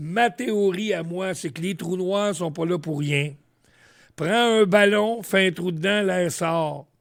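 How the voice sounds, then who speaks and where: Speaking at a very slow pace, a man has a high pitch with ordinary pitch variation. The recording is very clean, with a silent background. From Quebec, Montreal. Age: 70s. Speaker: radio veteran. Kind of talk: casual chat.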